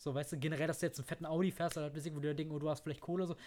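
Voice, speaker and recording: The speaker is a man. His pitch is fairly high. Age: 30s. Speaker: podcast host. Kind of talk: casual chat. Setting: at the guest's home.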